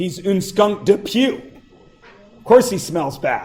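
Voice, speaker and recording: With faint music in the background, a man does a put-on character voice at a high pitch and a fairly slow pace. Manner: comic.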